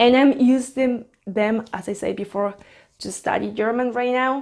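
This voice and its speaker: Against a silent background in a very clean recording, a woman with a Spanish accent speaks at a moderate pace with a fairly high pitch and ordinary pitch variation. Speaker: flight attendant and vlogger. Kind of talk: casual tutorial vlog.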